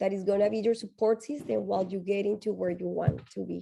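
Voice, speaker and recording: A woman with a strong Colombian accent, medium pitch, a dark, mellow tone and ordinary pitch variation. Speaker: tech nonprofit executive, panelist. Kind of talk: panel discussion advice.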